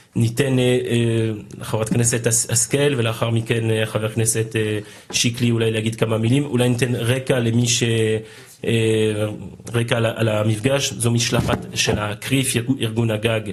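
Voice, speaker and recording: A man talks very slowly at a medium pitch, in a flat monotone with very even loudness. Noticeable background noise runs underneath. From France. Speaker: legislator chairing a meeting. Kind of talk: meeting moderation.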